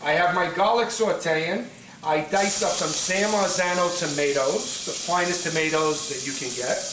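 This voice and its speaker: With a Brooklyn accent and an animated tone, a man speaks at a moderate pace with a high pitch and ordinary pitch variation, amid audible room echo and noticeable background noise. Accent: Brooklyn New York. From New York City (Brooklyn). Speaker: pasta maker, cooking show contestant. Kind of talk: cooking demonstration audition.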